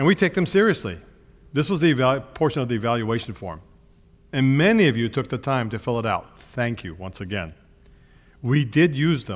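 The speech moves at a fairly quick pace, broken by long, frequent pauses. Vocal fry colors it, and the pitch swings very widely. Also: man, medium pitch for a man. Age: 70s. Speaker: pastor. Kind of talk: sermon.

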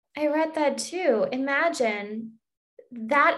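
A woman speaks with an American accent and ordinary pitch variation. Audible room echo surrounds her voice. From US and Germany. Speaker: podcast host. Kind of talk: interview.

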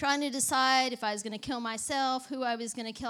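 With a Southern US accent, a woman speaks in a bright, sharp tone. Her intonation stays fairly even. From Texas. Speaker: ministry leader and preacher. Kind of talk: sermon with personal testimony.

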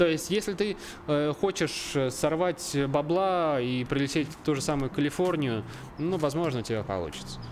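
At a moderate pace, a man talks in a fairly high pitch with lively intonation. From central Russia, Obninsk (Kaluga region). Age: 20s. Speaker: videographer. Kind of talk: casual chat. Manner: halting.

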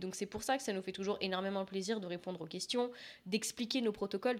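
Over a very clean recording with a silent background, a woman with a plain, everyday voice speaks fairly quickly at a medium pitch and a fairly even intonation. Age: 20s. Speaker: fitness coach. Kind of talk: casual chat.

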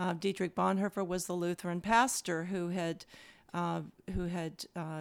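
Talking fairly slowly with an American accent, a woman uses an ordinary speaking voice, fairly low in pitch, with fairly even intonation. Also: very clean recording, silent background. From US South, Louisville, Kentucky. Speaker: seminary president and minister. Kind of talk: interview conversation.

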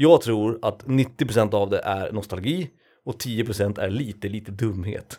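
Her? No—this speaker is male and talks very slowly. The voice has a dark, mellow tone. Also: medium pitch for a man, ordinary pitch variation, very clean recording, silent background. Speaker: podcast co-host. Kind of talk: casual chat. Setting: home studio.

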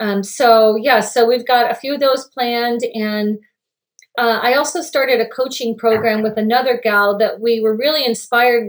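A woman with an ordinary speaking voice, fairly high pitch, fairly even intonation, and a moderate pace. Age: 50s. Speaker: holistic health coach. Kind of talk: casual chat.

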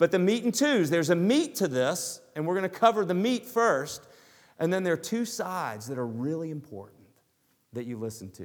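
A man with a Southern US accent talks at a high pitch, swinging very widely up and down. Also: fairly quick pace. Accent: Southern US, noticeable. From US South. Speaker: pastor. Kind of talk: sermon. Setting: church.

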